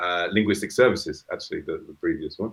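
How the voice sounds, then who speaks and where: A British accent comes through. The voice belongs to a man. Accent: British, noticeable. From UK. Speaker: crypto company co-founder. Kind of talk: interview.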